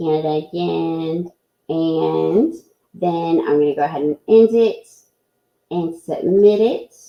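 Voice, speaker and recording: With a Southern US accent, a woman speaks at a fairly low pitch, leaving long, frequent pauses. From US South. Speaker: teacher presenting at an online education event. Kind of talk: live software tutorial. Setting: live online presentation. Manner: slow.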